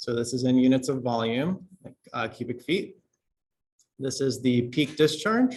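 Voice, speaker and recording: At a fairly slow pace with long, frequent pauses, a man speaks in a somewhat breathy, medium-pitched voice with ordinary pitch variation. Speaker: university lecturer. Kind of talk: lecture. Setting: classroom.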